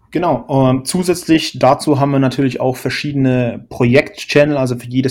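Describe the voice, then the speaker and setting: A man is speaking in a medium pitch. He keeps his intonation fairly even. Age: 20s. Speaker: podcast co-host, software developer. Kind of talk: casual chat. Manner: halting, many fillers.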